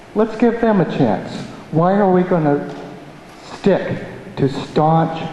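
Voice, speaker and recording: Over noticeable background noise and audible room echo, a high-pitched man with an American accent speaks at a very slow pace with long, frequent pauses, very even loudness and ordinary pitch variation. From upstate New York (Amenia). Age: 50s. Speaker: local resident, public commenter. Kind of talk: public hearing comment. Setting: town planning board hearing.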